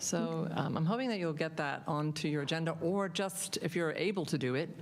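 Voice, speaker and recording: A woman talks at a fairly quick pace in a very deep, low pitch with vocal fry and ordinary pitch variation. Room echo is audible around her. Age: 70s. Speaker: public commenter at council meeting. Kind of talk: public comment. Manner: halting, many fillers.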